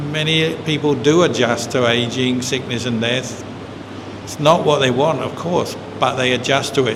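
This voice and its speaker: A man at a moderate pace with fairly even intonation, amid noticeable background noise and audible room echo. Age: 60s. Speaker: Buddhist monk. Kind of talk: dharma talk Q&A. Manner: conversational.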